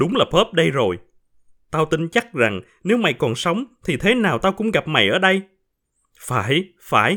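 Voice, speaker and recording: Recorded very cleanly over a silent background, a man with a fairly high pitch, a bright, sharp tone and vocal fry speaks at a fairly slow pace with very wide pitch swings. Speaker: podcast host and storyteller. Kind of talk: reading aloud a short story.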